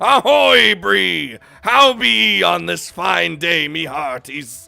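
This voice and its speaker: A man does a put-on character voice at a medium pitch. He goes at a very slow pace while faint music plays in the background. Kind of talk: stereotypical pirate speech. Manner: exaggerated, jovial.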